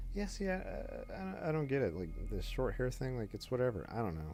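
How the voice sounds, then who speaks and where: A man speaks with very wide pitch swings. Music plays behind him. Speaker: game streamer. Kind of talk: casual chat.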